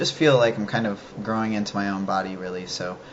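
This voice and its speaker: Noticeable background noise fills the recording. Through it, a man talks at a moderate pace. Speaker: vlogger. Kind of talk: casual video diary. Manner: hesitant, many fillers.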